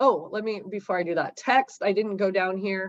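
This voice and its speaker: A woman speaks at a medium pitch. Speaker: real estate office trainer. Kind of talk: tutorial.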